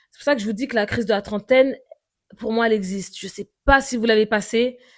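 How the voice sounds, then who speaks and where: Fairly high-pitched woman with ordinary pitch variation, very clean recording, silent background. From Paris suburbs, France. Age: 30s. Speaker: podcaster. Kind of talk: personal monologue podcast. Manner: halting, many fillers and repetitions.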